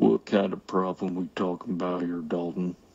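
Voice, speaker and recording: A man puts on a character voice that is very deep and low. He keeps a moderate pace and a fairly even intonation. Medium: audio drama.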